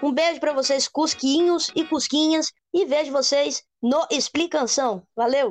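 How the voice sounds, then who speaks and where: A woman speaks at a high pitch with ordinary pitch variation, very even loudness and hardly any pauses. The sound is dry and close with no echo, and music plays in the background. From Brazil, Espírito Santo. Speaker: rock singer. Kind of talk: casual chat.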